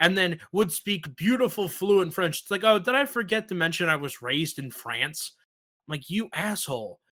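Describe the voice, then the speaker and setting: A man with a strong New York accent, a high pitch, a bright, sharp, animated tone and lively intonation, on a very clean recording with a silent background. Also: moderate pace. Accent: thick New York. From US Northeast, New York. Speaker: podcast host. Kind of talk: casual chat.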